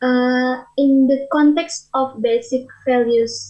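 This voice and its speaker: The speaker is a woman with a high pitch, talking quietly. Her pitch varies in an ordinary way. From Indonesia. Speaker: audience member asking a question. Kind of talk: conference Q&A question. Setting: conference auditorium. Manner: quiet, hard to hear.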